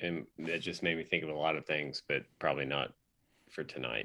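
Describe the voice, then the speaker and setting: With a bright, sharp tone and vocal fry, a man speaks at a moderate pace in a very deep, low pitch. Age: 40s. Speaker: podcast co-host. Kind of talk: casual chat.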